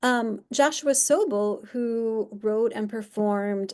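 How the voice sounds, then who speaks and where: A woman talks very slowly, her pitch moving in an ordinary way, over a quiet background. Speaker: art therapy researcher presenter. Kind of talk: online presentation. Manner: hesitant with many fillers.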